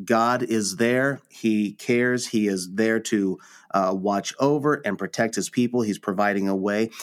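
A man speaks slowly at a fairly low pitch with fairly even intonation. His loudness stays very even in a very clean recording with a silent background. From Nebraska, US Midwest. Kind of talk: casual conversation about the Bible.

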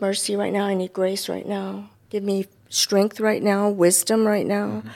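A woman's medium-pitched voice in an American accent, dark and mellow in tone, monotone and flat, at a moderate pace, on a very clean recording with a silent background. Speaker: church member. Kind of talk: testimony.

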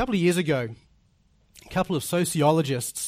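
On a very clean recording with a silent background, a man with a New Zealand accent speaks in a high voice at a moderate pace with lively intonation. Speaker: visiting preacher and doctoral student. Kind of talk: sermon. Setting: church.

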